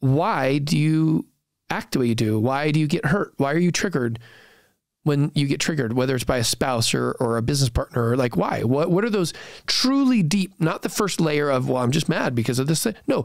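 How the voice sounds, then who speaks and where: A man with a fairly high pitch, an animated tone and lively intonation, at a moderate pace and very even loudness. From San Francisco Bay Area, US. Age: 40s. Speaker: startup founder and investor. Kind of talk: podcast interview.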